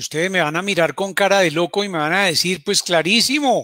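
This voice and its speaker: In a raised, projected voice with a bright, sharp tone, a man comes through in a dry, close sound with no echo. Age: 60s. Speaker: doctor giving health talks. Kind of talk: health talk. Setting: live broadcast.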